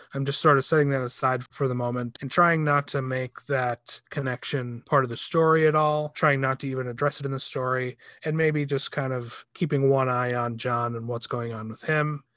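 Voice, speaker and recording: A man's medium-pitched, bright, sharp voice at a moderate pace, with fairly even intonation, hardly any pauses, and a dry, close sound with no echo. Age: 40s. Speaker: film critic. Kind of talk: casual chat.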